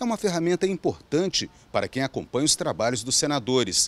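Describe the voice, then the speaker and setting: Here a man speaks rather briskly. The pitch leaps dramatically up and down. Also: dry sound with no echo. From Brazil. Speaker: news reporter. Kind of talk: scripted narration.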